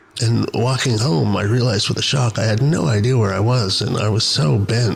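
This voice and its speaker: A man talks at a fairly quick pace and a medium pitch. His pitch varies in an ordinary way, with noticeable background noise behind him. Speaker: podcaster. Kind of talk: monologue storytelling podcast.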